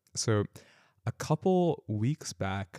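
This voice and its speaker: In an American accent, a man's dark, mellow voice comes through a very clean recording with a silent background and a dry, close sound with no echo. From US California. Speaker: podcast host. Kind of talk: casual unscripted conversation.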